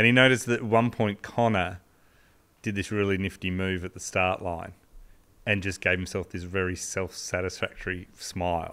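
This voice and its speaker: In an Australian accent, a man with a very deep, low pitch and a bright, sharp tone talks at a moderate pace with fairly even intonation. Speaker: podcast co-host, sports history storyteller. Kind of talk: casual storytelling chat. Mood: relaxed, amused. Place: studio. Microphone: studio mic.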